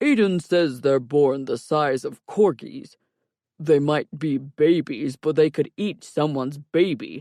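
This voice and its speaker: A man talks in a put-on character voice at a fairly slow pace. The sound is dry and close, with no echo. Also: fairly high pitch for a man. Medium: read story. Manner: dry, wisecracking.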